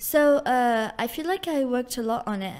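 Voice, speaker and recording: A woman's high-pitched voice at a moderate pace with lively intonation. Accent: Algerian. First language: Algerian Arabic. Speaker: university student. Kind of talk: casual chat. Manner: halting, many fillers.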